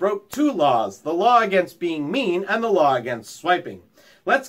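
Someone reads in a natural reading voice.

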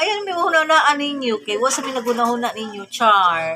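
A woman's animated voice, fairly high-pitched, at a fairly slow pace. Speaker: vlogger. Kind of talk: casual vlog chat. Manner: animated, laughing.

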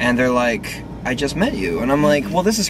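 With noticeable background noise behind him, a man keeps a fairly quick pace. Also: dry sound with no echo. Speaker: vlogger. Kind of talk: casual vlog chat, some singing.

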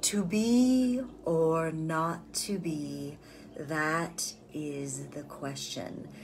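A resonant, put-on character voice moves at a very slow pace with audible echo. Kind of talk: theatrical, classical delivery. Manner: slow, emotionally connected.

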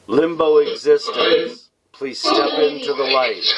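The pace is fairly slow. Loud background noise sits behind the speech. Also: man. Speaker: paranormal session host. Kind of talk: prayer-like address to spirits. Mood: calm, solemn, gentle. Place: home room.

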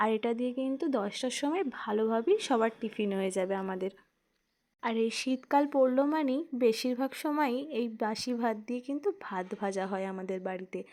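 A woman speaks in a plain, everyday voice, pitched fairly high with ordinary pitch variation. The recording is very clean, with a silent background. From West Bengal, India (Hooghly district). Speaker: vlogger. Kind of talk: casual vlog narration.

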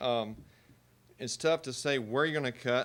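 A man speaks with a Texas accent and fairly even intonation. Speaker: parent. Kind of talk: public comment at board meeting. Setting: public meeting.

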